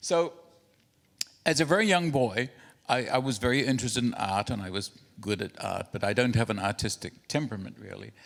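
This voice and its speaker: A man with a New Zealand accent talks at a fairly quick pace and a medium pitch. His intonation is lively, with long, frequent pauses. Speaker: printing industry expert and inventor. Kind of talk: conference presentation. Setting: conference hall with projector and translators.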